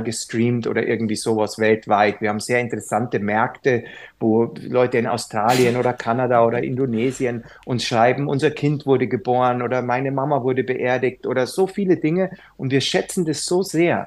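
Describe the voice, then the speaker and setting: Against a quiet background, a man with a medium pitch speaks fairly quickly in a plain, everyday voice, with ordinary pitch variation. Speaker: yoga teacher. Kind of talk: casual chat.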